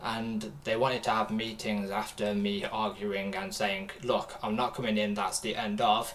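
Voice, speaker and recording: Speaking in a British accent at a moderate pace, a man uses a fairly low pitch and fairly even intonation. Audible room echo and noticeable background noise come through. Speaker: streamer reacting to videos. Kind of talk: casual livestream chat. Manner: halting, many fillers.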